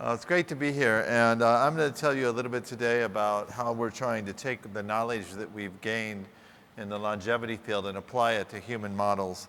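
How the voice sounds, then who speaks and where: A man with an American accent at medium pitch, bright and sharp in tone, talking at a fairly quick pace. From US South, Louisville, Kentucky. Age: 50s. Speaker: scientist. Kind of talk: keynote lecture. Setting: stage with audience.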